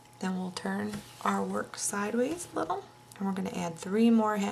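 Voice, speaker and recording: Noticeable background noise fills the space behind the speaker. A woman talks at a moderate pace. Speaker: crochet tutorial host. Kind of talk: tutorial.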